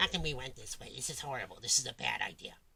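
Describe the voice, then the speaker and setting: A put-on character voice at a very fast pace. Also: low-to-middle pitch. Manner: cranky, put-on.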